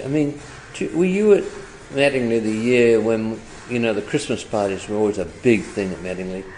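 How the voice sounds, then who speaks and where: Speaking at a medium pitch and a moderate pace, this man is heard against noticeable background noise. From northern England, Leeds. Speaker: retired advertising executive. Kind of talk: interview. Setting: hotel pub.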